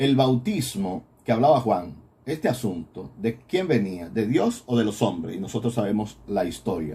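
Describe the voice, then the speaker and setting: Somewhat breathy, with a dark, mellow tone, a man speaks at a fairly slow pace from a medium pitch that swings very widely. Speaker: priest teaching a Bible course. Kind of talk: recorded Bible lecture.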